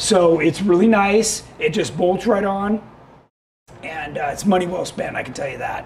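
A man, with light background noise. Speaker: show host. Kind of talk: live web show product talk. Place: studio. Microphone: lapel.

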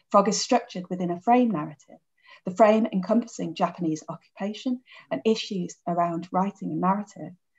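A woman speaking at a fairly quick pace, somewhat breathy, with ordinary pitch variation against a quiet background. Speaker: literature professor. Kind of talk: academic conference presentation. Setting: video call. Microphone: webcam.

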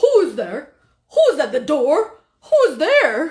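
A woman's put-on character voice at an extremely high pitch, with very wide pitch swings at a very slow pace. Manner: fussy, bossy then firm.

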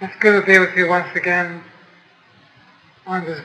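Noticeable background noise surrounds this man's voice. His pitch is high and his intonation monotone and flat. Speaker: spiritual teacher. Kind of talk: spiritual talk to an audience.

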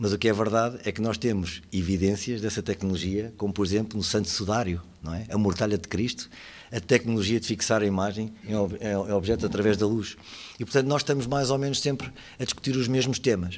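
A man with a normal speaking voice, fairly low pitch, ordinary pitch variation and a fairly quick pace. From Portugal. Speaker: lawyer and lecturer on digital law; lawyer, lecturer on digital law. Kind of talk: conference talk. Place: hall.

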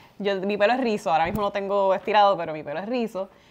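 A woman races along at a very fast pace with a Puerto Rican accent. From Puerto Rico. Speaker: community leader and podcast co-host; podcast co-host. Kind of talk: casual interview chat. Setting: podcast recording. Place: home room.

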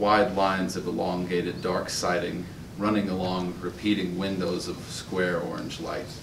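Over noticeable background noise, a man with a General American accent speaks at a moderate pace in a very deep, low pitch with monotone, flat intonation. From Utah. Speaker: open mic poet. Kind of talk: poetry reading. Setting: stage with audience. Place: hall. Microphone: podium.

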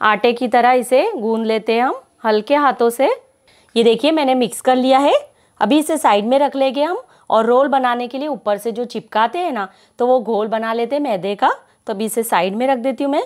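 A woman's high voice at a moderate pace, with ordinary pitch variation and a quiet background. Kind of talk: tutorial.

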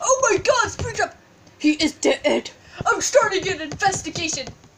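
The voice is a put-on character voice pitched extremely high. It moves at a moderate pace. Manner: shouting, frantic.

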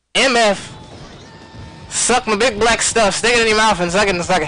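Raising and projecting his high-pitched voice, a man speaks in an animated tone at a moderate pace, the sound dry with no echo. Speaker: gaming commentator streamer. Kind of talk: live gameplay commentary. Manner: loud.

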